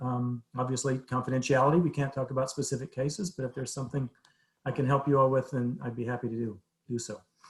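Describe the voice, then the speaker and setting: A man speaks at a very fast pace, his medium-pitched voice somewhat breathy. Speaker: behavioral health agency presenter. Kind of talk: presentation to city council. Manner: halting, repetitive fillers.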